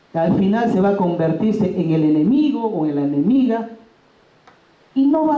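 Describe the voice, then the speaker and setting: Amid audible room echo, a woman's voice moves through very wide pitch swings. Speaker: bilingual education teacher. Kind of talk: workshop talk. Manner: loud, emphatic.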